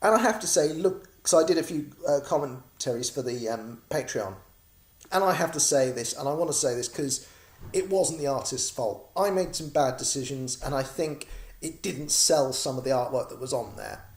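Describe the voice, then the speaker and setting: A man speaks in a British accent at a moderate pace, his pitch fairly high and his intonation lively. His voice is somewhat breathy. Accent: British, noticeable. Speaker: comic creator and crowdfunding campaigner. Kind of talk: casual video vlog update. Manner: chatty, rambling with filler words.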